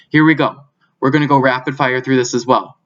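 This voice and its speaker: The voice belongs to a man with a medium pitch. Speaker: teacher. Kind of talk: tutorial. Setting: screen recording.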